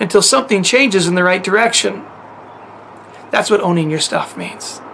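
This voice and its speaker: Noticeable background noise runs under a man's voice. He talks at a fairly quick pace with ordinary pitch variation. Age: 50s. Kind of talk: teaching monologue to camera.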